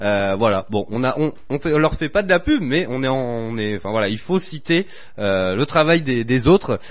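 A man at a medium pitch and moderate pace, with very wide pitch swings. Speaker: radio show host. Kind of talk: live radio chat. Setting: radio studio. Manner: jovial, often laughing.

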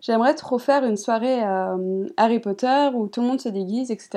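Against a quiet background, a woman with a fairly high pitch and a dark, mellow tone talks with lively intonation. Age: 20s. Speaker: YouTuber. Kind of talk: interview. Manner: hesitant, many fillers.

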